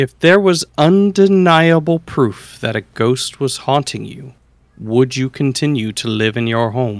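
An ordinary speaking voice with lively intonation at a fairly slow pace, in a very clean, dry, close recording with no echo and a silent background. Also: man, medium pitch for a man. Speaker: podcast host. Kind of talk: casual banter. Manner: joking, playful.

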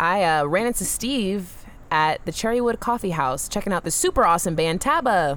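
In a plain, everyday voice, a woman speaks at a moderate pace with fairly low pitch and lively intonation. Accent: American. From US South. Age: 20s. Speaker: freelance entrepreneur. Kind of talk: casual interview. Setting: festival interview.

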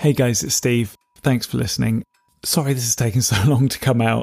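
A man's medium-pitched voice with a dark, mellow tone and fairly even intonation, at a moderate pace, in dry, close sound with no echo. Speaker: podcast host. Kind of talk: improvised comedy podcast.

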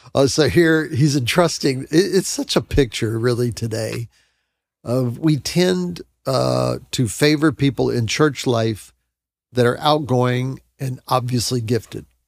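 A man with an unremarkable speaking voice, a fairly slow pace and ordinary pitch variation, on a very clean recording with a silent background. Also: medium pitch for a man. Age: 60s. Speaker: Bible podcast co-host. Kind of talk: casual Bible discussion.

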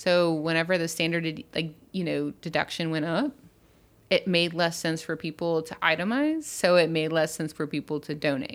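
With an American accent and an ordinary speaking voice, a woman of fairly low pitch talks at a moderate pace with fairly even intonation in a very clean recording with a silent background. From US South, Baton Rouge, Louisiana. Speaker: community relations worker. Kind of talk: casual chat.

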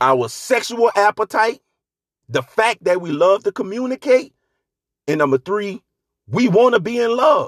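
Animated and full of lively intonation, the voice breaks often into long pauses, recorded dry and close with no echo. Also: man. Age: 40s. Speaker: podcast host. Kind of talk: solo monologue.

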